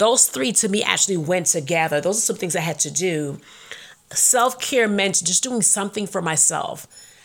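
A woman talks at a moderate pace in a medium pitch with ordinary pitch variation. It is an unremarkable speaking voice. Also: very clean recording, silent background. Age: 40s. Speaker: faith podcast host. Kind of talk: casual monologue.

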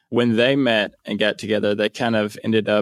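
Recorded dry and close with no echo, a man with a Louisiana accent speaks at a fairly quick pace with a fairly low pitch. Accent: Louisiana Southern US. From northeast Louisiana, US South. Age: 30s. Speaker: missionary. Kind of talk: interview.

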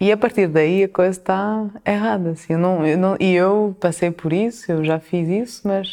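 A woman's medium-pitched voice with a dark, mellow tone, over a quiet background. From France and Portugal. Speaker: chef and restaurant owner. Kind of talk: interview. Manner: halting.

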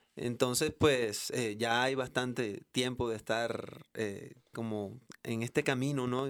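An ordinary speaking voice talks at a fairly slow pace. The recording is very clean, with a silent background. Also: man. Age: 40s. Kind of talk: casual chat.

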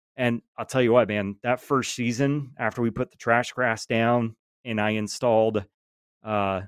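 In a Southern US accent, a man speaks at a moderate pace and medium pitch with fairly even intonation, the sound dry and close with no echo in a very clean recording with a silent background. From Georgia. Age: 30s. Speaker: lawn care content creator. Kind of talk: casual chat.

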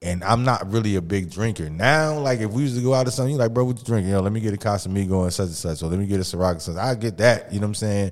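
On a very clean recording with a silent background, a man talks at a very fast pace. His fairly low voice shows ordinary pitch variation. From Mississippi. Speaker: podcast host. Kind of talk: casual chat.

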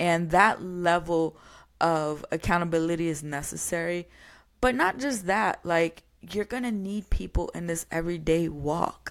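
A woman with an unremarkable speaking voice and an American accent talks at a fairly low pitch and fairly slow pace with ordinary pitch variation, in a very clean recording against a silent background. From New York. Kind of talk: solo podcast monologue. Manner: casual, conversational.

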